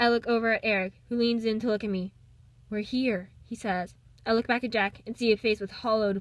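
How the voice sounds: The reading voice is natural, and its intonation stays fairly even.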